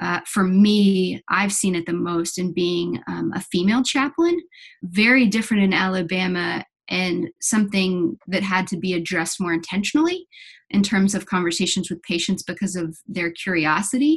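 Somewhat breathy, a woman speaks at a medium pitch and moderate pace with ordinary pitch variation. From Kentucky (Lexington). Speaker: hospital chaplain. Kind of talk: interview.

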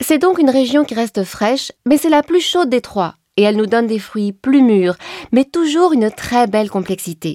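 Her voice high-pitched with a dark, mellow tone, a woman talks at a moderate pace with very wide pitch swings, the sound dry and close with no echo. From France, Champagne. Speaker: winemaker. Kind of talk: informative explainer.

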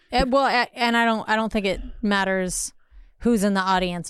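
An ordinary speaking voice with an American accent, ordinary pitch variation and a moderate pace, on a very clean recording with a silent background. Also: woman. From Los Angeles, California. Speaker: comedian and actor. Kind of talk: casual chat, podcast interview. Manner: playful, teasing.

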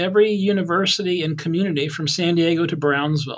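A man talks at a very fast pace. His pitch is high for a man, with ordinary variation. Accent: American. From US Southwest (southern Colorado). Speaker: physician and medical school president. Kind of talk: interview.

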